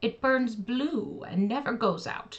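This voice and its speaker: A female-sounding put-on character voice with a fairly high pitch moves along at a fairly slow pace. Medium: read story. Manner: sly, calculating.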